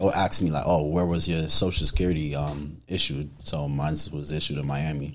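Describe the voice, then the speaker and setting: With hardly any pauses, a man speaks at a fairly quick pace in a very deep, low pitch and monotone, flat intonation. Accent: New York. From New York, Haitian family. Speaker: photographer. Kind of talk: casual interview chat. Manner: halting, many fillers.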